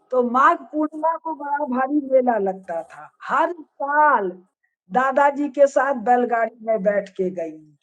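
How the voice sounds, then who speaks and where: This woman speaks high and with lively intonation, her loudness swinging widely. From eastern Uttar Pradesh, India (Padrauna). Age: 70s. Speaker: professor and religious scholar. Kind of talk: discussion on a live video session. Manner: animated.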